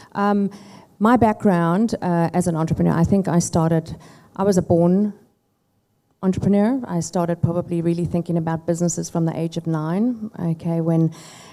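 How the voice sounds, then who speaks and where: A woman speaks in a South African accent, her pitch fairly low and her tone dark and mellow. The recording is very clean, with a silent background. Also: fairly even intonation, moderate pace. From South Africa and US (Chicago). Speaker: tech company founder. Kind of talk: fireside chat interview.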